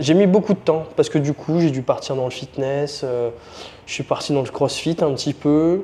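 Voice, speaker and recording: A man speaks in a dark, mellow tone at a fairly high pitch. His pace is moderate and his pitch varies in an ordinary way. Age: 30s. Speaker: strength and conditioning coach. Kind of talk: interview.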